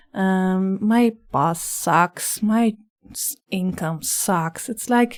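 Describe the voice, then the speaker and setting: The speech moves at a very slow pace in a very clean recording with a silent background. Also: woman, medium pitch for a woman, ordinary pitch variation. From Netherlands. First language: Dutch. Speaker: life coach. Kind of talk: podcast interview.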